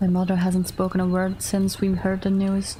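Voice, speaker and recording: Against noticeable background noise, a woman with a medium-pitched voice speaks in a calm tone with monotone, flat intonation. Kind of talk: horror story narration. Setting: livestream. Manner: soft, calm, measured.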